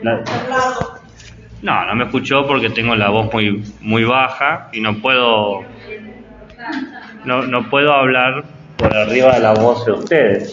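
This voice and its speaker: A man with a medium pitch speaks very slowly with fairly even intonation and long, frequent pauses. Room echo is audible, along with noticeable background noise. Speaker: teacher-training lecturer. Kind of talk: lecture. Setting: classroom. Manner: soft-spoken.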